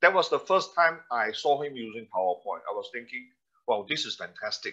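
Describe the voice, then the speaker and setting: Loudness swings widely as a man speaks at a fairly quick pace. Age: 60s. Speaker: presentation trainer. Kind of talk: webinar presentation. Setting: online webinar. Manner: halting, many fillers.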